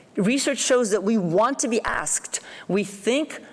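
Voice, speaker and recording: There is noticeable background noise. A woman speaks with lively intonation. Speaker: psychology professor giving keynote. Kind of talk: keynote lecture. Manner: fast.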